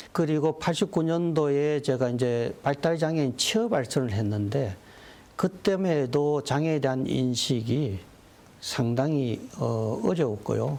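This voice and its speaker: Speaking very slowly, a man uses a fairly high pitch and lively intonation while keeping his loudness very even. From South Korea, North Gyeongsang (Andong, Daegu). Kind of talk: TV interview. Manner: frequent fillers, hesitant.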